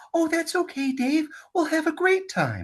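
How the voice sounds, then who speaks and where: Put-on character voice, high in pitch, at a moderate speed. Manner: sweet, cute.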